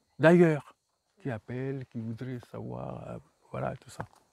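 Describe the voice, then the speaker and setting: The recording is close and dry, free of any echo. A man is speaking. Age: 60s. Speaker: author. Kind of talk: book talk. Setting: bookshop. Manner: halting.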